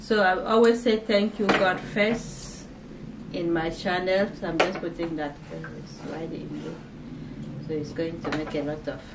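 A woman at a fairly slow pace with ordinary pitch variation, over loud background noise. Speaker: channel host. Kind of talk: casual vlog chat. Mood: warm, thankful, faith-focused. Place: home room.

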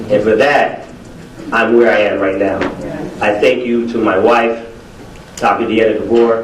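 With an American accent, the speaker talks at a moderate pace over noticeable background noise and audible room echo. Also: man. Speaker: educator and preacher, award honoree. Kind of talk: acceptance speech. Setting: podium before a live audience.

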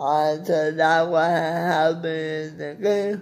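With audible room echo, a man speaks slowly in a fairly high voice that shows little pitch movement.

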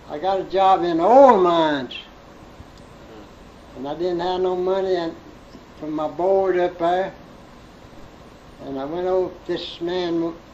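A man with an American accent, high-pitched, at a fairly slow pace with long, frequent pauses, over noticeable background noise. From Central Alabama. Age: 80s+. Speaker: farmer. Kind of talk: interview answer.

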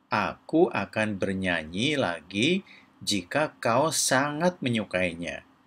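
Slowly and in a fairly low pitch, a man uses a put-on character voice with big pitch swings. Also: fairly bright tone.

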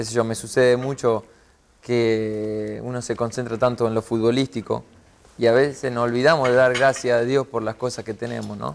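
Medium in pitch, a man speaks at a moderate pace. His intonation is monotone and flat. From Rosario, Argentina; Argentina. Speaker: professional footballer; interview guest. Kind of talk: interview. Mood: warm, reflective about faith. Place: studio.

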